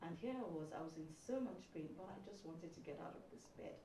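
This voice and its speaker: Soft-spoken and fairly low in pitch, a woman talks very fast with lively intonation, her voice carrying audible room echo amid noticeable background noise. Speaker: sickle cell patient sharing her story. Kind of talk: testimony. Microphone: too quiet.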